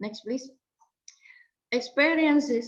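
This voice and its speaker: Speaking with an Indonesian accent, a woman keeps a moderate pace and ordinary pitch variation. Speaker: researcher presenting. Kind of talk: conference presentation. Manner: formal.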